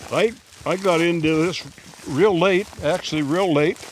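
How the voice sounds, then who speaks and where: With noticeable background noise behind him, a man speaks in a fairly high voice that moves with ordinary pitch variation. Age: 80s+. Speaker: amateur water dowser, farmer. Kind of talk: casual interview. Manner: terse.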